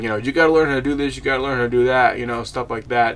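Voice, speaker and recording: A man talks at a medium pitch with ordinary pitch variation while noticeable background noise carries on behind him. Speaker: gaming YouTuber. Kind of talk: casual video game review. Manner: fast; halting, many fillers and repeats.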